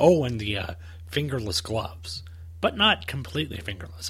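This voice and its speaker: A man's bright, sharp tone with lively intonation and audible room echo. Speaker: comic book podcast host. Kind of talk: solo podcast commentary.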